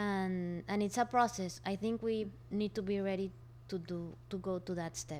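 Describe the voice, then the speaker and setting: Fairly even intonation accompanies a moderate pace. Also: woman, medium pitch for a woman. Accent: Spanish. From Colombia, Barranquilla. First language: Spanish. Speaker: co-founder of a refill store. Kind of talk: interview.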